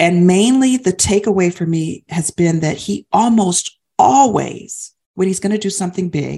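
A woman's somewhat breathy voice, medium in pitch with a dark, mellow tone. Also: ordinary pitch variation, moderate pace. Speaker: podcast co-host. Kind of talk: faith-based podcast conversation.

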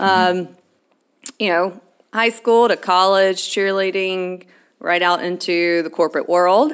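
With a Southern US accent, a woman speaks at a medium pitch on a very clean recording with a silent background. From Alabama. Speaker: podcast co-host. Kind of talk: casual chat.

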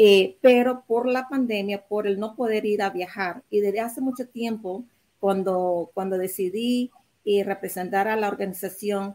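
A woman speaks at a fairly slow pace with a fairly high pitch. Her tone is dark and mellow, and her intonation fairly even. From Nicaragua. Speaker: real estate agent and mortgage lender. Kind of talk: panel discussion. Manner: halting, with fillers.

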